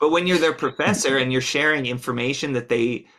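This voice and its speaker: A very clean recording of a man's voice, the background silent. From Philadelphia. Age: 40s. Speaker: musician and community college music professor. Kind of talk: casual interview. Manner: halting, many fillers.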